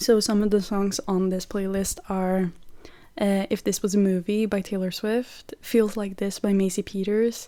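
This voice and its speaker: A voice with a Norwegian accent talks at a fairly slow pace in a monotone, flat intonation and a dark, mellow tone. The recording is very clean, with a silent background. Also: woman, medium pitch for a woman. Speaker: podcast host. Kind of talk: casual chat.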